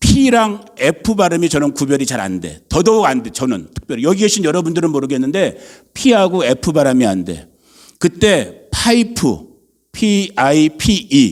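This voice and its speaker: A man with vocal fry speaks at a fairly slow pace in an animated tone, his pitch swinging very widely. The recording is very clean, with a silent background. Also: fairly high pitch for a man. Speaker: pastor. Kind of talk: sermon. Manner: conversational, animated.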